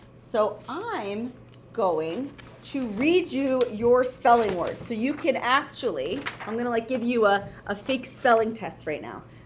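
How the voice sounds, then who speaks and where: The speaker goes at a fairly slow pace with lively intonation and big swings in loudness, over noticeable background noise. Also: woman, fairly high pitch for a woman. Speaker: elementary school teacher. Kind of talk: homework tutorial for pupils; dictated spelling test.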